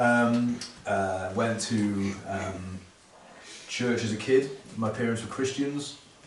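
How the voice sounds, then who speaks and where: A man with a South Wales accent speaks at a medium pitch. His intonation is fairly even, and the room has audible echo. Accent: South Wales valleys. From South Wales valleys, Pontypool. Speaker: pastor. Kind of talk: testimony.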